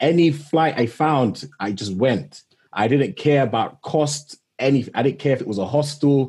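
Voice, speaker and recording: With a London accent, a man speaks in a somewhat breathy voice. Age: 20s. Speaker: technology manager and travel influencer. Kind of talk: interview.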